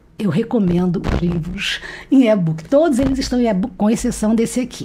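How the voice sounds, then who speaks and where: This woman's voice is fairly high, and she talks at a moderate pace. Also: lively intonation. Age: 60s. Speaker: retired history professor and publisher. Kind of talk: interview conversation. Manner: talkative, nonstop; halting, repeats words.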